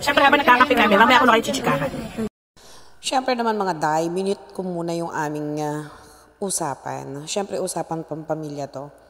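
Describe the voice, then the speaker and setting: An animated woman at a fairly quick pace, with very wide pitch swings. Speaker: vlogger. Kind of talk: vlog monologue. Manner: talkative.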